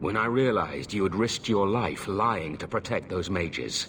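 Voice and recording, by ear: A man's put-on character voice, low in pitch yet fairly bright in tone, with lively intonation at a fairly slow pace.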